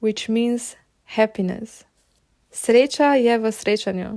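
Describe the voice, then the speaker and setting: A woman speaks very slowly in a fairly high voice with a dark, mellow tone and ordinary pitch variation. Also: very clean recording, silent background. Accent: Slovenian. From Slovenia. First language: Slovenian. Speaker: podcast host. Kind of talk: podcast monologue.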